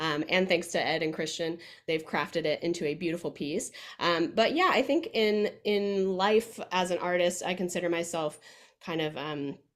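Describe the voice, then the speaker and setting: With a Midwestern US accent, a woman talks at a moderate pace. Her pitch is fairly low, with ordinary variation. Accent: General American, Midwest. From Kansas, US Midwest. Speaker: musical theatre performer. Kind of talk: casual interview. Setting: video call. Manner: many filler ums.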